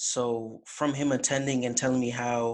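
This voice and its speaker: Speaking in an American accent, a man talks at a medium pitch. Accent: slight Jamaican accent, mostly American. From Jamaica. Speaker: college fraternity officer. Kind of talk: interview. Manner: casual, relaxed.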